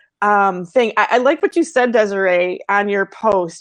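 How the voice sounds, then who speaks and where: A woman speaks in an American accent at a medium pitch. Her moderate pace comes through in a dry, close sound with no echo. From Sault Ste. Marie border area, Ontario/Michigan. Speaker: artist and livestream host. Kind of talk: casual livestream chat. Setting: live stream. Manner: hesitant, many fillers.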